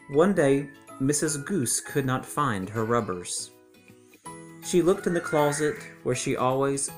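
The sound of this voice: Faint music plays in the background. A man talks slowly at a medium pitch with big pitch swings.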